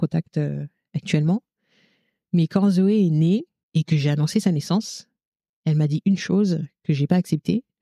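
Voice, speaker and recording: A woman's fairly low, somewhat breathy voice with a dark, mellow tone, at a moderate pace and with fairly even intonation, dry and close with no echo. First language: Lingala (speaking French). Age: 30s. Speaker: childcare worker and mother. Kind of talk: podcast interview testimony.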